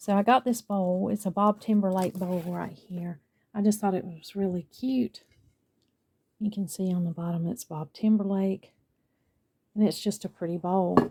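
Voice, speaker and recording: With a Southern US accent, a woman speaks at medium pitch in a dark, mellow, somewhat breathy tone, using fairly even intonation and long, frequent pauses. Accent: southern US, drawn out. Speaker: lifestyle vlogger. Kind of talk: casual vlog chat.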